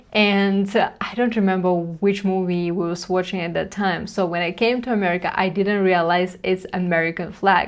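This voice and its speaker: A woman with a Russian accent, medium pitch and monotone, flat intonation, at a moderate pace over a quiet background. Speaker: reaction commentator. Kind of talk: reaction commentary. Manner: halting.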